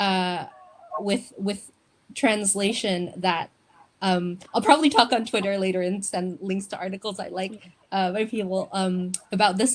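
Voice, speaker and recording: This is a woman with an Indonesian accent. Her voice sits at a medium pitch. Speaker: poet. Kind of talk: panel discussion. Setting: online live event. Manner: halting.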